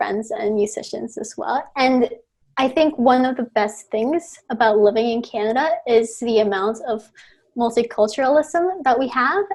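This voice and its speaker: Speaking at a moderate pace, a woman with a Spanish accent has a fairly high pitch. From Mexico City, Mexico. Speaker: rock band singer and university student. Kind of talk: podcast interview.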